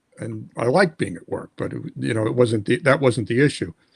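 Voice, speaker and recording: Pitch varies in an ordinary way, in an American accent. The sound is dry and close, with no echo. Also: man. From New York (Brooklyn). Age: 60s. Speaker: kidney disease patient. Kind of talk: interview. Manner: halting, many repetitions.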